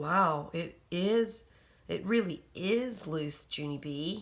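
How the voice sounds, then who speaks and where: A raspy, female-sounding put-on character voice at a middle pitch drags along at a very slow pace. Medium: read story. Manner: gentle, mildly amused.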